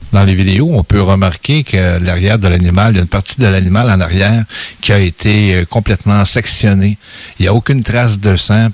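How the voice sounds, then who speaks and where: In an unremarkable speaking voice, a man talks at a fairly quick pace with fairly low pitch, fairly even intonation and very even loudness, in a dry, close sound with no echo. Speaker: radio co-host, UFO investigator. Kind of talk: radio interview.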